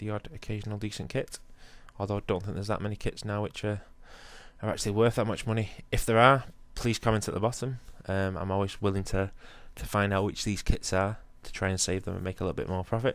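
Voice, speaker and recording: On a very clean recording with a silent background, a man speaks at a very fast pace in a fairly low pitch with fairly even intonation. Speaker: gaming YouTuber. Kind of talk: gameplay commentary. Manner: hesitant with frequent ums.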